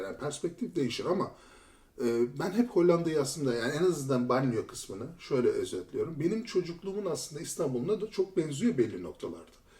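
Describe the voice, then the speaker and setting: Over noticeable background noise, a man speaks at a very fast pace. His fairly high pitch swings very widely. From Turkey, Istanbul. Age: 40s. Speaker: former lawyer turned IT tester. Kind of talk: podcast interview.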